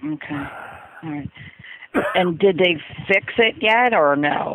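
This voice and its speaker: Against noticeable background noise, a woman with a fairly low pitch talks at a fairly slow pace, her intonation lively and her loudness swinging widely. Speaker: call center agent. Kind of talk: customer service call. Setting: phone call.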